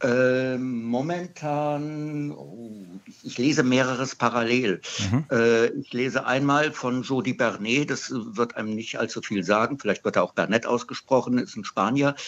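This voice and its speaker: A man talks with a plain, everyday voice at a medium pitch, with ordinary pitch variation. His pace is fairly slow, and the background is quiet. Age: 60s. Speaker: radio caller, comic collector. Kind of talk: call-in chat. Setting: phone call.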